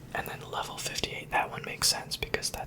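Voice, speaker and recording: A man whispering over noticeable background noise. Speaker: ASMR creator. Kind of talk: ASMR whispered show-and-tell. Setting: home recording with some background noise. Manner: whispered.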